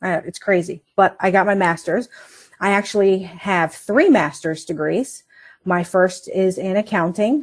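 In an ordinary speaking voice, a woman talks at a fairly slow pace and medium pitch with ordinary pitch variation over a quiet background. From Northern Virginia. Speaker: accounting manager. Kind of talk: interview.

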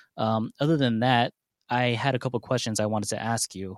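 Speaking with an American accent, a man uses an ordinary speaking voice at a moderate pace with fairly even intonation, the sound dry and close with no echo. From San Diego, California. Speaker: aspiring DJ, voicemail caller. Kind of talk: voicemail message.

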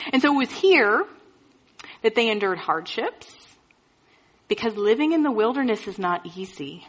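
Speaking at a moderate pace with long, frequent pauses, a woman's fairly high voice swings very widely in pitch. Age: 30s. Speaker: pastor. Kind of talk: sermon.

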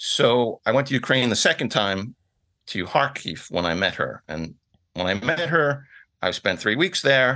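A man with an American accent, a bright, sharp tone and vocal fry, medium pitch with very wide pitch swings, a fairly slow pace and a quiet background. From New York City (Bronx). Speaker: glamping business owner. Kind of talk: interview. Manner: hesitant, repeats words.

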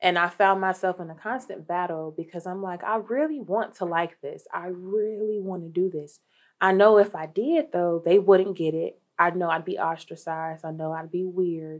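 With an ordinary speaking voice, a woman of medium pitch talks at a moderate pace with hardly any pauses, big swings in loudness and ordinary pitch variation against a quiet background. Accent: American. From Dayton, Ohio. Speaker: social work case manager. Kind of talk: interview.

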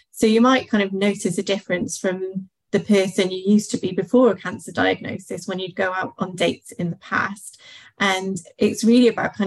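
Somewhat breathy, a woman talks at medium pitch and a moderate pace with fairly even intonation. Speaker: confidence coach. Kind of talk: workshop talk. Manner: calm.

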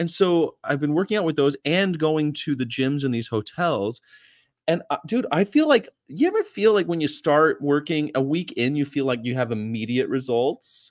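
With an American accent and an unremarkable speaking voice, a man talks at a moderate pace with lively intonation and fairly high pitch, the sound dry and close with no echo. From California. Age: 40s. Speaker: vegan activist channel host. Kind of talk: casual chat. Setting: video call.

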